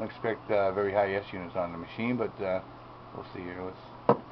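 Speech comes at a very fast pace. Background noise is noticeable. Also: man. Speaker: amateur radio hobbyist. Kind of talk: casual demo narration. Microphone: phone near.

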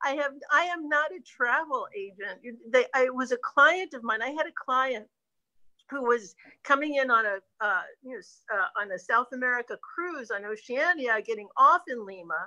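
Against a quiet background, a woman with a high pitch and a bright, sharp tone projects a raised voice at a moderate pace, her pitch swinging very widely and her loudness in big swings. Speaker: travel business owner. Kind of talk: casual chat. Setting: video call. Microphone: video call.

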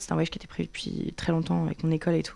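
The pace is very fast as a woman talks. Behind her, the background stays quiet. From France. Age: 20s. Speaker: content creator. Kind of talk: interview. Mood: earnest, somewhat emotional. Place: studio. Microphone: studio mic.

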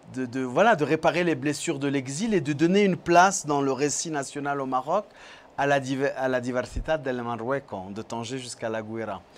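Lively intonation runs through this man's fairly high voice. He speaks at a fairly slow pace. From France. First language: French (speaking Spanish). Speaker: film director; guest. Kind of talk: interview. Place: studio. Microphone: lapel.

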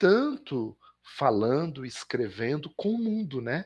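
Against a quiet background, a man speaks at a fairly slow pace in a fairly high pitch with a plain, everyday voice. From Belo Horizonte, Minas Gerais, Brazil. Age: 50s. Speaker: professor and visual artist. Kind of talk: interview.

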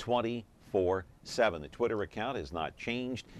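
A man talks at a medium pitch with ordinary pitch variation, in a plain, everyday voice. The sound is dry with no echo, with light background noise. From California. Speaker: talk show host. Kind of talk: live call-in talk show. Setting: showroom floor. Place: studio. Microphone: lapel.

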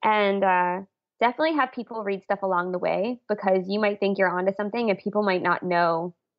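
The delivery comes at a fairly quick pace with ordinary pitch variation. It is an unremarkable speaking voice. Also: woman. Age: 30s. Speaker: illustrator and author. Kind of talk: casual interview.

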